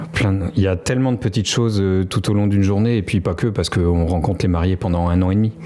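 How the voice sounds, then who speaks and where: A man speaks very fast at a fairly low pitch, with hardly any pauses and ordinary pitch variation. His loudness stays very even, and music plays in the background. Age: 40s. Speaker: wedding photographer. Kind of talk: podcast interview. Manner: hesitant, many filler sounds.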